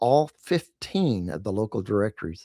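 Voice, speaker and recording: With a Texas accent, a man speaks in a dark, mellow tone at a fairly low pitch with lively intonation, in a very clean recording with a silent background and a dry, close sound with no echo. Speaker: marketing podcast host, directory owner. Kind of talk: casual chat.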